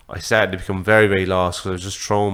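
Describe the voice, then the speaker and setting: A man speaks with an Irish accent. His voice is very deep and low, with monotone, flat intonation. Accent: Irish (Louth). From Ireland, Drogheda. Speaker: boxing social media creator. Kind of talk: podcast conversation. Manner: halting, many fillers.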